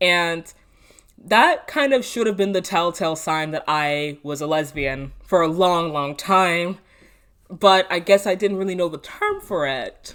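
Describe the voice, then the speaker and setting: Speaking at a fairly slow pace, a woman has a fairly low pitch and ordinary pitch variation. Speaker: vlogger. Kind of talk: personal storytelling monologue. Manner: casual, with frequent fillers; unedited, talking off the cuff.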